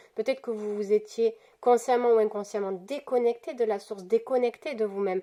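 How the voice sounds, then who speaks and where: A woman's fairly high-pitched, dark, mellow voice at a fairly quick pace with fairly even intonation. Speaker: tarot card reader. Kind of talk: weekly spiritual card guidance. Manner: halting, many fillers and repetitions.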